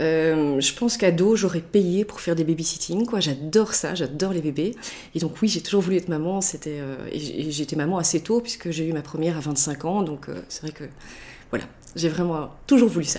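At a moderate pace, a woman with a fairly low pitch and a dark, mellow tone speaks with ordinary pitch variation. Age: 40s. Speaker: mother who traveled the world with family. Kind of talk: casual interview.

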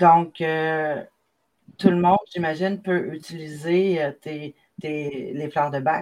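In a Quebec accent, a woman speaks very slowly at a very deep, low pitch with fairly even intonation and big swings in loudness. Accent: Québécois French. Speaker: magazine creator and live show host. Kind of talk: live video interview. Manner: halting.

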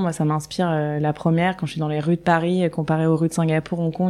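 Her voice fairly low in pitch, a woman speaks in a monotone, flat intonation with a dark, mellow tone. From southern France, Nice. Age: 30s. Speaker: festival co-founder. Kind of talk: interview.

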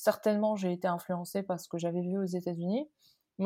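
On a very clean recording with a silent background, a woman talks at a medium pitch with fairly even intonation. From Morocco. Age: 30s. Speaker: company founder. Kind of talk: interview. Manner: halting, many repetitions and fillers.

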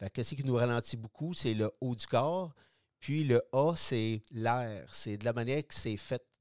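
A man's medium-pitched voice with a Quebec accent, fairly slow in pace with ordinary pitch variation, dry and close with no echo, on a very clean recording with a silent background. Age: 60s. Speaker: product designer, retired cyclist. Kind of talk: interview.

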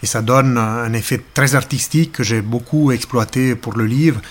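A man of medium pitch speaks with fairly even intonation in a slight Ticino accent. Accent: slight Ticino Italian-Swiss. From Ticino, southern Switzerland. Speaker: nature photographer. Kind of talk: interview narration. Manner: hesitant with frequent fillers.

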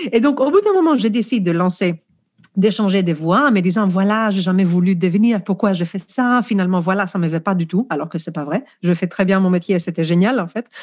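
Over a quiet background, a woman talks fairly quickly at a medium pitch with lively intonation. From Greece. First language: Greek (speaking French). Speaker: professional coach, former teacher. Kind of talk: podcast interview.

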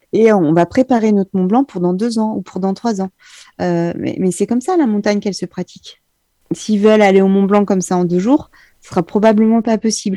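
The speech moves at a fairly quick pace with fairly even intonation and big swings in loudness. The tone is dark and mellow, with a dry, close sound with no echo against a quiet background. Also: woman, medium pitch for a woman. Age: 40s. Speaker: mountain guide and climbing champion. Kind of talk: interview.

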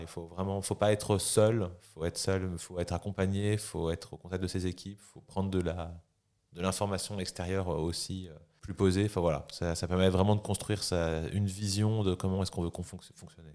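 On a very clean recording with a silent background, a man speaks at a fairly quick pace in a very deep, low, monotone, flat voice whose loudness swings widely. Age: 30s. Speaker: startup founder and CEO. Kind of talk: podcast interview.

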